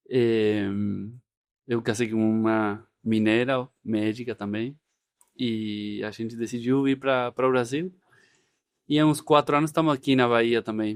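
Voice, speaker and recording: A man with an Argentine accent talks at a fairly slow pace and medium pitch, his intonation fairly even and broken by long, frequent pauses, on a very clean recording with a silent background. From Argentina. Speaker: orthopedic doctor. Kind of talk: interview podcast.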